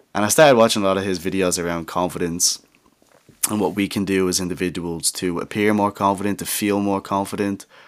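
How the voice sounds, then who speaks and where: A man with an English accent, fairly low pitch and fairly even intonation, at a very fast pace. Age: young. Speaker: podcast host. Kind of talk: casual monologue. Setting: home studio.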